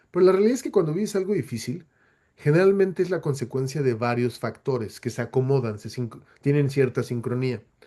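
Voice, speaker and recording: With lively intonation, a man speaks in a fairly high voice that has a dark, mellow tone. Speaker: webinar speaker. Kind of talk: webinar Q&A. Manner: halting, many self-corrections.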